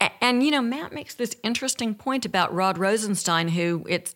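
A woman with an Alabama accent at a fairly quick pace with ordinary pitch variation, in a very clean recording with a silent background. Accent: Southern US (Alabama). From US South. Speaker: former federal prosecutor. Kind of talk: panel discussion. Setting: studio.

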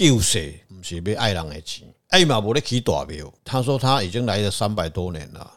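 Over a very clean recording with a silent background, a man speaks at a moderate pace with very wide pitch swings. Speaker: religious consultant on a podcast. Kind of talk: casual chat.

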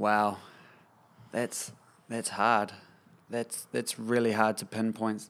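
A man with a New Zealand accent, medium in pitch, at a very slow pace with long, frequent pauses and monotone, flat intonation. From New Zealand, Kapiti Coast. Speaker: musician. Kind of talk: casual chat.

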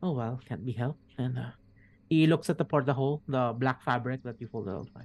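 A natural reading voice carries the whole passage.

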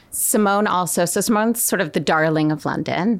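This is an ordinary speaking voice from a woman with an American accent, fairly low in pitch with ordinary pitch variation. The recording is very clean, with a silent background. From Connecticut, then Florence, Italy. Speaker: fashion director at a retailer. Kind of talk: casual interview.

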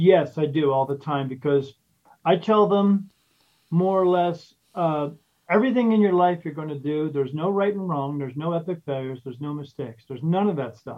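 This man has a plain, everyday voice with a fairly high pitch. He speaks at a fairly quick pace with ordinary pitch variation. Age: 50s. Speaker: spirit medium and podcast host. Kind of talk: casual interview.

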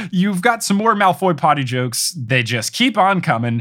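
Pitched high with very wide swings, a man speaks at a moderate pace in a bright, sharp tone. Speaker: podcast host. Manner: casual, conversational.

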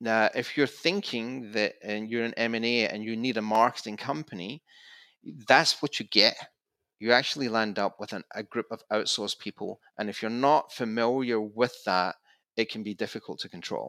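In a Scottish accent, a man speaks at a moderate pace with a medium pitch, fairly even intonation and a bright, sharp tone, in a dry, close sound with no echo on a very clean recording with a silent background. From Scotland, Glasgow. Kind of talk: interview.

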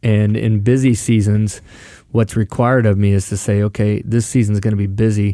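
A man speaks at a moderate pace in a fairly low, dark, mellow voice with fairly even intonation. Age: 40s. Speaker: pastor. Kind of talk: casual chat.

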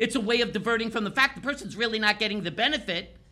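A man speaks in a raised, projected voice. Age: 60s. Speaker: pain specialist with physical therapy doctorate. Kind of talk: interview. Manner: animated.

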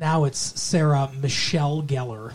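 In a playful tone, a man speaks in a somewhat breathy voice pitched fairly high. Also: very clean recording, silent background. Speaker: podcast host. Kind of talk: casual banter chat. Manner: joking, playful.

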